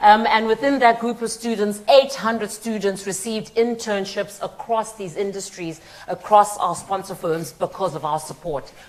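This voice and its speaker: A woman speaking at a fairly quick pace over noticeable background noise. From Zimbabwe. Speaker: charity partnerships head, guest speaker. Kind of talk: conference talk. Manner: conversational, with fillers.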